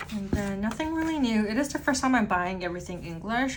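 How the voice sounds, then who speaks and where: A woman speaks with lively intonation. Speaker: stationery YouTuber. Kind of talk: unboxing review. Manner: casual, filler-heavy; slightly quieter, pulled away.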